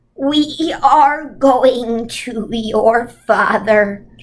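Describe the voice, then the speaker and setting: Using a put-on character voice, a woman speaks at a high pitch with ordinary pitch variation. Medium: read story. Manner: commanding, solemn.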